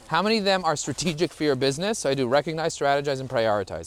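Talking very fast in an animated tone, a man with an American accent has a fairly high pitch and lively intonation. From US Northeast (Borough Park, Brooklyn, New York). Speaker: LinkedIn marketing expert. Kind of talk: casual interview while hiking. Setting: outdoors on a hike.

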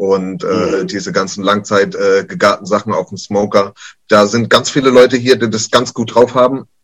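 A man's voice at a moderate pace. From Kurpfalz, southwest Germany. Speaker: chef at a university canteen. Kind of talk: casual chat.

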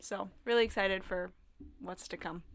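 Speaking with an American accent, a woman has a plain, everyday voice at medium pitch with ordinary pitch variation. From Minnesota (Northfield). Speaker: intern and college student. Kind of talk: casual chat.

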